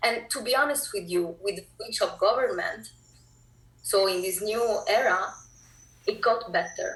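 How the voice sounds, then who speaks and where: The speaker talks at a fairly slow pace with an Italian accent. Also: woman. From Italy, Naples. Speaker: filmmaker. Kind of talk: interview.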